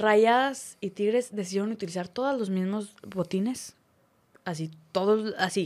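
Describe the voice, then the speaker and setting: A woman with a normal speaking voice at medium pitch, ordinary pitch variation and a fairly slow pace, in a very clean recording with a silent background. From Torreón, Comarca Lagunera, northern Mexico. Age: 20s. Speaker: sports commentator. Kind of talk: casual interview chat.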